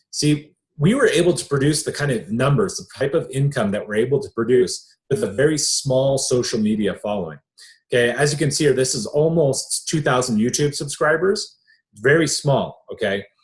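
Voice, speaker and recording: A man with a fairly high pitch talks at a fairly quick pace, somewhat breathy, with lively intonation. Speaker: online business coach. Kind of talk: sales webinar presentation. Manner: animated.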